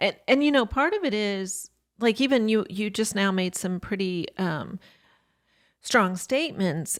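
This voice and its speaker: A woman with a plain, everyday voice at a medium pitch, with lively intonation at a fairly slow pace, on a very clean recording with a silent background. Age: 60s. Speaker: relationship coach. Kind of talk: podcast conversation.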